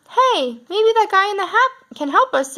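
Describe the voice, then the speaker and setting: A woman puts on a character voice that is squeaky and extremely high. She keeps a moderate pace. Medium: read story.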